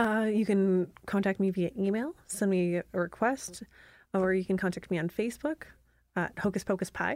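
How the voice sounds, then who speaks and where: A woman with a Canadian accent talks at medium pitch and a moderate pace, with ordinary pitch variation. Her loudness stays very even, and the recording is very clean against a silent background. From rural Canada. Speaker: baker and small business owner. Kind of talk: casual chat. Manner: animated.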